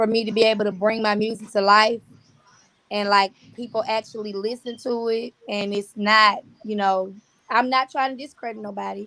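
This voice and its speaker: In an American accent, a woman speaks with a fairly high pitch and a bright, sharp tone, her intonation flat and monotone. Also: moderate pace. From US South, Birmingham, Alabama. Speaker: singer-songwriter. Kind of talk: casual interview.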